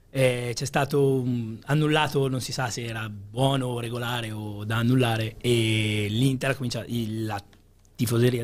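Here a man talks in an ordinary speaking voice, medium in pitch and with fairly even intonation. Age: 20s. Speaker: quiz contestant, supermarket worker; quiz show contestant or host. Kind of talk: quiz show chat. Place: studio. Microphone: studio mic.

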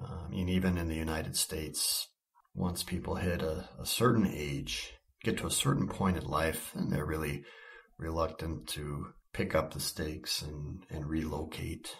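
This voice is somewhat breathy. It keeps a moderate pace. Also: man, very deep, low pitch for a man, ordinary pitch variation. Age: 50s. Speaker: missionary and podcast host. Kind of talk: reflective personal monologue. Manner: earnest, reflective.

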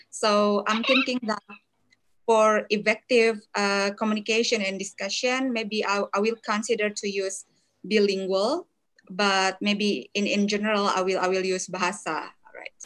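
A woman with an Indonesian accent talks at a moderate pace with fairly even intonation. The background is quiet. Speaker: law lecturer. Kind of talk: webinar lecture. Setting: video call. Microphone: video call.

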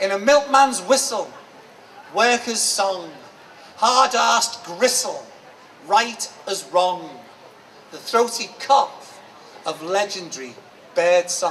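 A high-pitched man with a Liverpool accent, very slow and full of long, frequent pauses, lively in intonation, over light background noise. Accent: Scouse (Liverpool). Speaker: performance poet. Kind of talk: poetry reading. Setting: live event. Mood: expressive, eyes often closed. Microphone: handheld.

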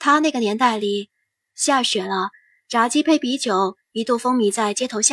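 Someone is doing plain reading aloud. Little can be heard behind the voice, as the background is quiet.

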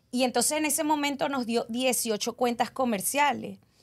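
Against a quiet background, a high-pitched woman speaks at a fairly slow pace with ordinary pitch variation. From Venezuela. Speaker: cleaning business owner; guest. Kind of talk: podcast interview. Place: studio. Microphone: studio mic.

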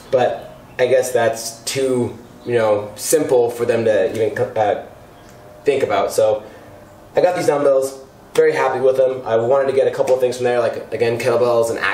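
A man's voice comes through audible room echo and light background noise. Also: moderate pace. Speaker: home gym vlogger. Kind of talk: casual vlog chat. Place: garage.

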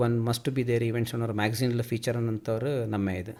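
Monotone and flat in intonation, a man speaks at a medium pitch with a dark, mellow tone. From Kodagu, Karnataka. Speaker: sports festival committee chairman. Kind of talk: radio interview.

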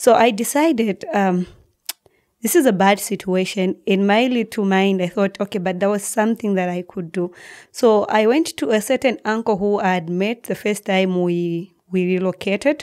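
A woman with a Zambian accent, medium pitch and ordinary pitch variation, at a moderate pace over a quiet background. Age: 20s. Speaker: guest sharing life story. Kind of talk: emotional personal testimony. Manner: halting, repeats words. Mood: reflective, telling hard life story. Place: studio. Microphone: studio mic.

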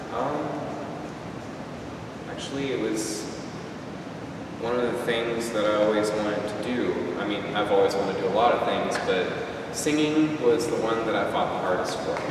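A man at a moderate pace with long, frequent pauses, strong room echo and noticeable background noise. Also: ordinary pitch variation. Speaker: interviewee. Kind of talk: interview answer. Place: empty room. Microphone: camera far.

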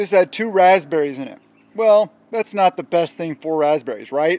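A man speaks at a moderate pace with ordinary pitch variation. The sound is dry with no echo. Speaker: prepping vlogger. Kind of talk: casual vlog chat. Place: garden.

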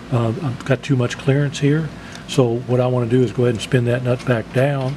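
A man talks at a fairly quick pace in a monotone, flat delivery. Noticeable background noise is present. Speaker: product demonstrator. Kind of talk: tutorial. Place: workshop.

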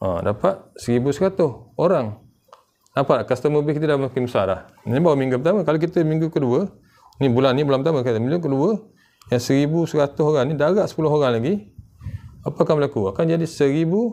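This man speaks at a very fast pace with a fairly high pitch, a dark, mellow tone, ordinary pitch variation, and very even loudness. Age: 40s. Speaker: online business vlogger. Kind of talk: sales pitch. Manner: casual. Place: home room.

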